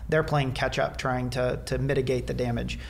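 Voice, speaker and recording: The speaker has a Midwestern American accent. Light background noise sits behind the voice. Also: man. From south central Nebraska. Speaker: biology professor and veterinarian; interview guest. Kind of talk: interview, explanatory. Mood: earnest, measured. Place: office. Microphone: studio mic.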